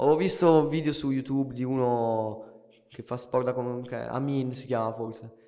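This is a man with an ordinary speaking voice at a medium pitch. He keeps a moderate pace and fairly even intonation. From Italy. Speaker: amateur muay thai fighter, former rapper. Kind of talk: casual chat.

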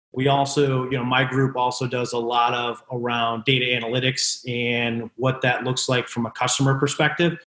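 A man's medium-pitched, monotone, flat delivery at a moderate pace with hardly any pauses. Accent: American. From Connecticut, US. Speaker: business executive, former college baseball pitcher. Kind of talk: interview conversation. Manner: frequent fillers and restarts.

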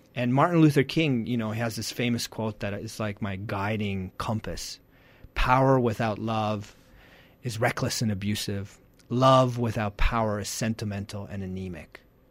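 At a moderate pace, a man with a normal speaking voice talks at a medium pitch with ordinary pitch variation on a very clean recording with a silent background. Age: 40s. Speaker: parenting coach. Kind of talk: interview. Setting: radio studio.

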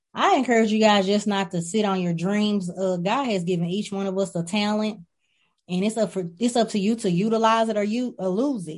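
An unremarkable speaking voice at a fairly quick pace, fairly even in intonation, against a quiet background. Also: woman, medium pitch for a woman. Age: 30s. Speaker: trucking company owner. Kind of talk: interview.

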